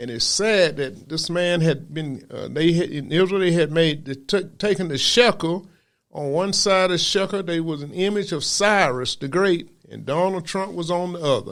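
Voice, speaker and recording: Speaking at a moderate pace in a Southern US accent, a man uses a high pitch with ordinary pitch variation. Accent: Southern US (Georgia). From US South, Macon, Georgia. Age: 70s. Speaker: preacher. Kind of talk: sermon.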